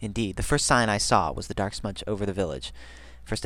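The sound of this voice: Simply an unforced reading voice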